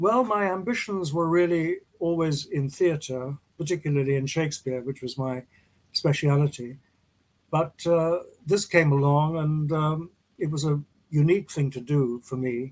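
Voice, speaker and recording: A man with a British accent speaks at a fairly high pitch, using ordinary pitch variation. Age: 80s+. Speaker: actor. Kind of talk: interview.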